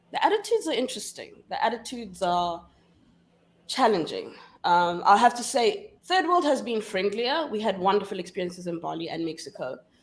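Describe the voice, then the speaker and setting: A woman speaks with a South African accent at a fairly quick pace. Her tone is animated. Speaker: feminist scholar and activist. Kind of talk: casual interview chat.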